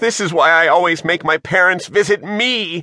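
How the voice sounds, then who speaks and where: Playful in tone, a man with a fairly high pitch and vocal fry talks at a moderate pace, recorded with a dry, close sound and no echo. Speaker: audiobook narrator. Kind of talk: dramatic audiobook narration of a children's adventure, with character voices. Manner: brisk, playful storyteller pacing with exaggerated screams.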